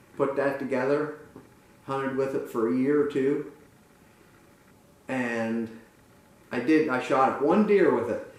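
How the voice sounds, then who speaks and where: Recorded with audible room echo and noticeable background noise, a man with an American accent speaks in a fairly high pitch. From central Pennsylvania, Lewistown. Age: 70s. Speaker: muzzleloader club member. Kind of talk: interview. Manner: halting.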